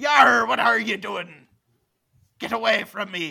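A man's put-on character voice, high-pitched and fairly slow. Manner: gruff, dismissive.

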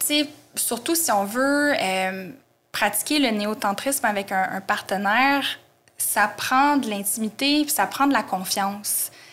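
Very slowly and with lively intonation, a woman speaks at a fairly high pitch in a Quebec accent. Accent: Québécois French. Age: 30s. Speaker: tarot and astrology teacher. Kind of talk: interview.

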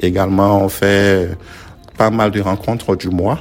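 A man's very deep, low pitch comes through noticeable background noise. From Ivory Coast, Abidjan. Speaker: community organization founder. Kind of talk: interview.

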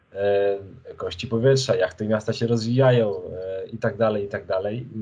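A man with a medium pitch and a dark, mellow tone sounds somewhat breathy, speaking at a moderate pace with fairly even intonation. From Poland, Lublin region (Krasnystaw). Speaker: journalist and author. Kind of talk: interview. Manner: halting, many fillers and repetitions.

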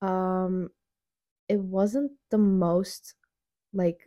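The speaker is a woman with a medium pitch. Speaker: podcast host. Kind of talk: casual chat. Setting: home recording with new budget microphone. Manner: rambling, frequent fillers.

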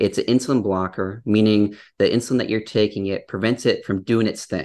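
In a normal speaking voice with an American accent, a man talks at a fairly quick pace, fairly low in pitch with ordinary pitch variation, against a quiet background. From US Midwest, Upper Peninsula of Michigan. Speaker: dietitian. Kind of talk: casual interview chat.

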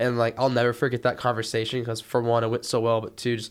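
A man's medium-pitched voice moves at a very fast pace. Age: 20s. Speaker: college student and student TV reporter. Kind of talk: casual interview. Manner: casual, many filler words.

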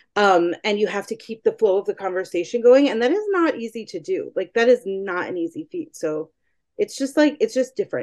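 Delivery runs at a fairly quick pace. Pitch swings very widely. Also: woman. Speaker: journalist and podcast producer. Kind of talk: interview conversation. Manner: uses many fillers like um and like.

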